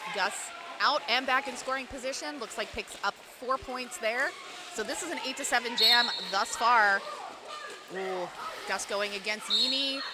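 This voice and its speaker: An American woman talks at a moderate pace with a high pitch and lively intonation. Her speech has long, frequent pauses, and there is noticeable background noise. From Pittsburgh area, US. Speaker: roller derby announcer. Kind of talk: live commentary. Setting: ice arena. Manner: animated.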